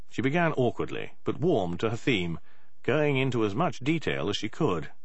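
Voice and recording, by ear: A man talks at a medium pitch and a moderate pace. His pitch swings widely.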